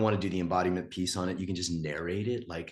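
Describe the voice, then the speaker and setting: Pitch variation is ordinary, with a quiet background. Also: man. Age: 50s. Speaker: relationship and intimacy coach. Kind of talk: live coaching call.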